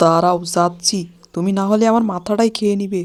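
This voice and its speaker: Using a put-on, whiny character voice, a woman speaks at a moderate pace and medium pitch with monotone, flat intonation on a very clean recording with a silent background. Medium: cartoon. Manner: whiny, self-pitying.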